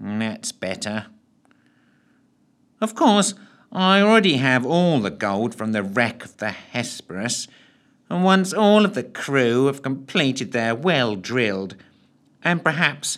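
Squeaky put-on character voice from a man at medium pitch, very wide pitch swings, fairly slow with long, frequent pauses. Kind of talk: comic villain. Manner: snide, tetchy, boring.

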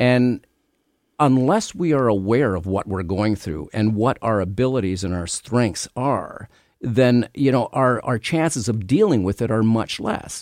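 A man with a Canadian accent and a plain, everyday voice talks at a fairly slow pace, medium in pitch with ordinary variation, on a very clean recording with a silent background. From Canada. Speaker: retired police detective and author. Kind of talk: radio interview.

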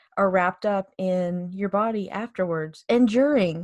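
A woman speaks in a normal speaking voice at medium pitch with an American accent. Her intonation is fairly even, and the sound is dry and close with no echo. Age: 30s. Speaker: podcast co-host. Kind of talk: casual chat.

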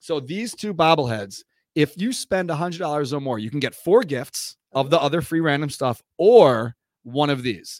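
On a very clean recording with a silent background and a dry, close sound with no echo, a man with a plain, everyday voice and fairly high pitch talks at a moderate pace with lively intonation. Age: 40s. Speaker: sports podcast host. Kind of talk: casual chat. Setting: studio.

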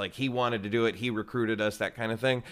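A man is speaking. He has a Texan accent. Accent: Texan American. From Texas. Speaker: improv teacher. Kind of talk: casual interview.

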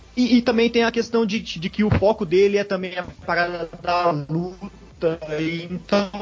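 A man speaks in a Brazilian accent at a high pitch. His pace is fairly slow, with noticeable background noise behind him. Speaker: podcast co-host. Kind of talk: casual chat.

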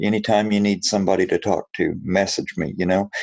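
Here is a man with an ordinary speaking voice. He talks at a moderate pace in a fairly low pitch. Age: 50s. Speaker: anti-bullying activist and school speaker. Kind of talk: interview.

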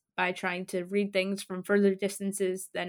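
A woman speaks in an ordinary speaking voice at medium pitch and a fairly quick pace. The recording is very clean, with a silent background. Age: young. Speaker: podcast host. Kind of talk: scripted narration. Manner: formal.

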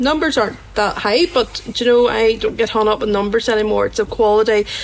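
A woman speaks at a moderate pace. There is noticeable background noise.

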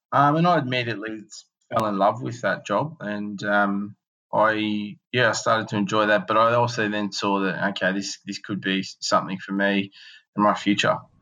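A man speaks with an Australian accent in a fairly low pitch, his tone bright and sharp. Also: ordinary pitch variation, moderate pace. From Australia, northern New South Wales. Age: 30s. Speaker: entrepreneur. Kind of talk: interview. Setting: remote recording from Melbourne. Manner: halting, many fillers.

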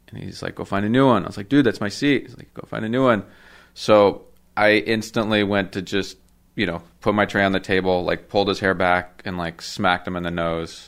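On a very clean recording with a silent background, a man with a normal speaking voice talks at a fairly quick pace, fairly low in pitch, with fairly even intonation. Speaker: tattoo artist. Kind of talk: casual chat. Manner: casual, rambling.

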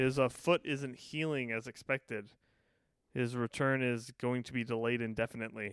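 With an unremarkable speaking voice, a man at medium pitch keeps a moderate pace and fairly even intonation, recorded dry and close with no echo on a very clean track with a silent background. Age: 30s. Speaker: podcast co-host. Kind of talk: casual chat.

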